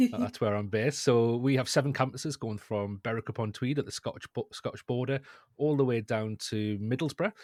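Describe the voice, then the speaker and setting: A man with a northeast English accent talks at a fairly quick pace with fairly even intonation, in a dry, close sound with no echo on a very clean recording with a silent background. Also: medium pitch for a man. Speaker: education technology lead. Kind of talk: podcast interview. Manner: repeats words, halting starts.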